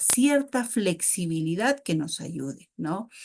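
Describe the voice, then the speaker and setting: A woman speaks at a very slow pace in a medium-pitched voice. Her intonation is lively. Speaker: architect and webinar instructor. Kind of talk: webinar lecture. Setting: online webinar.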